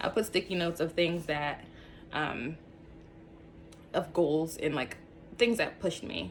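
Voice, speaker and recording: This woman talks at a moderate pace in a fairly low pitch, with ordinary pitch variation. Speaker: YouTuber sharing personal story. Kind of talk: casual vlog talk to camera. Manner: animated.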